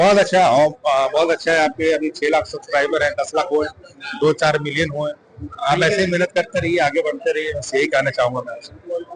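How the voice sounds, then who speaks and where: Noticeable background noise sits behind a man speaking with a Bihari accent. His pitch is high, his pitch variation ordinary and his pace moderate. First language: Bhojpuri (speaking Hindi). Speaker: film actor. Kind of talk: interview. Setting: award event.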